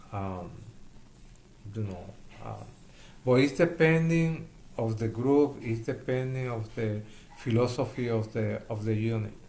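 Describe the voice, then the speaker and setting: In a strong Puerto Rican accent, a man with a medium pitch speaks in a somewhat breathy, dark, mellow tone, with long, frequent pauses. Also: ordinary pitch variation, fairly slow pace. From Puerto Rico. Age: 70s. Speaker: hospital chaplain educator. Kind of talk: interview. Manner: halting.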